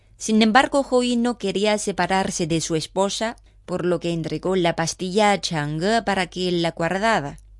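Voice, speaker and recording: The delivery is dramatic in tone, at a fairly slow pace with ordinary pitch variation. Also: woman, medium pitch for a woman. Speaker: radio host. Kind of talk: mythic legend narration, storytelling read aloud. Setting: studio. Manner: measured, dramatic storyteller pace.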